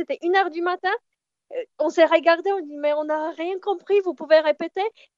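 A woman with a Polish accent and fairly even intonation. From southern Poland, near Kraków. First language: Polish (speaking French). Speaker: traveller. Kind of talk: casual chat. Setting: phone call.

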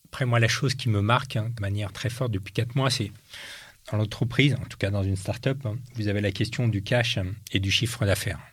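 Fairly even intonation and a somewhat breathy quality. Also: man. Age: 50s. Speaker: entrepreneur and former politician. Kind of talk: interview.

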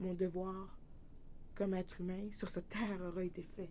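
Fairly slow, fairly even speech from a woman with a dark, mellow tone, in audible room echo. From New Brunswick, Canada. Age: 30s. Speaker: podcast host. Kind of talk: personal testimony monologue.

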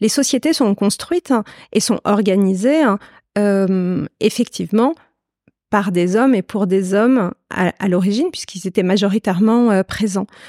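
Speaking at a fairly slow pace, a woman has a medium pitch, a dark, mellow tone, ordinary pitch variation and very even loudness. The recording is very clean, dry and close, with no echo and a silent background. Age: 40s. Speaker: consultant on ageing. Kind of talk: interview. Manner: hesitant, many fillers.

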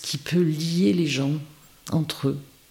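Noticeable background noise runs behind a woman as she talks. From rural France. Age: 60s. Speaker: village mayor, former school head. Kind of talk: interview. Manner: halting, frequent repetitions.

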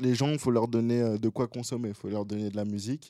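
A man's dark, mellow tone at a medium pitch. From Gabon, then Paris region from age 5-6. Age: 20s. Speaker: rapper and singer. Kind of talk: casual interview. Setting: studio.

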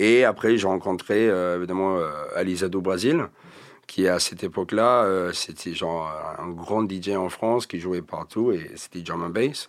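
At a fairly slow pace, a man speaks in a very deep, low voice. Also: ordinary pitch variation. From England. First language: English (speaking French). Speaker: rapper. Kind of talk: casual interview chat.

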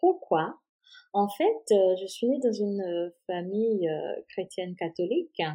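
Her voice sits at a medium pitch. The woman talks at a very slow pace. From Haiti. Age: 30s. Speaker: salesperson sharing illness story. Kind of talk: personal testimony interview.

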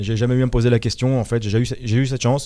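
Over a very clean recording with a silent background, a man with a dark, mellow tone speaks at a fairly quick pace and medium pitch. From Paris region, France (Hauts-de-Seine). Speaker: football commentator. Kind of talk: interview.

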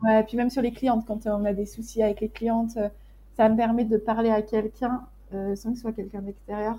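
A woman's fairly high, somewhat breathy voice at a fairly quick pace, with a dark, mellow tone and flat monotone intonation. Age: 20s. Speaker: graphic designer running an agency. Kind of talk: casual interview chat.

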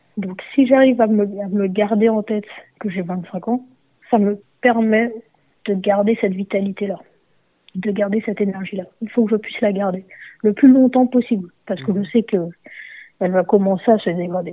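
Long, frequent pauses break up a woman's speech, which has a medium pitch, fairly even intonation and a moderate pace. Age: 30s. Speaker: footballer. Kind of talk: interview. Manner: halting.

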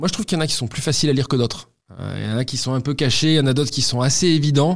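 Delivered at a very fast pace with ordinary pitch variation, the speech comes through a very clean recording with a silent background. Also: man. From Toulouse, southwestern France. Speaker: football club marketing director. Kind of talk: interview testimony.

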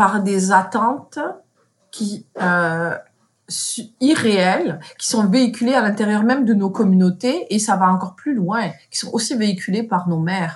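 A somewhat breathy voice with lively intonation at a very slow pace. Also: woman. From France, of Moroccan parents. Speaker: content creator. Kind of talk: interview conversation.

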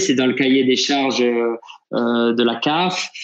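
A man talks at a fairly slow pace. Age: 60s. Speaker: football sporting director. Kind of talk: interview. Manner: hesitant, with fillers and repetitions.

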